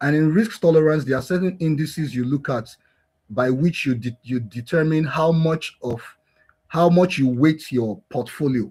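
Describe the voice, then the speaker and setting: Somewhat breathy, a man speaks at a moderate pace in a fairly high pitch with ordinary pitch variation. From Nigeria, Lagos. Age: 40s. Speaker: blockchain developer and founder. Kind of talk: interview.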